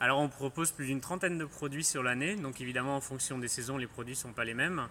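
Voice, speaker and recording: A man is talking in a bright, sharp tone. The variation in his pitch is ordinary. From Île-de-France, France. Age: 30s. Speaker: farmer. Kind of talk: radio interview. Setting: on the farm.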